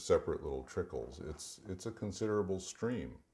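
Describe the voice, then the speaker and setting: A man speaks with an American accent. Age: 60s. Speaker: author and teacher. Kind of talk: casual chat. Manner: halting.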